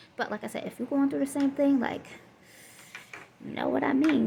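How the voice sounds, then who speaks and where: A woman with a Southern US accent talks against noticeable background noise. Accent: Southern US country. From Southern US (Florida). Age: 20s. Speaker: single mother vlogger. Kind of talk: casual talk to camera.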